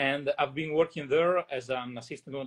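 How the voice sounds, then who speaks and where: A man with an Italian accent at a fairly high pitch, fairly slow in pace, with ordinary pitch variation, a dry, close sound with no echo and a quiet background. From northern Italy, Verona. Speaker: winemaker. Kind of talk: interview.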